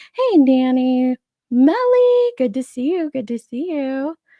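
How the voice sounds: A woman's high-pitched voice at a slow pace, with big pitch swings and a dry, close sound with no echo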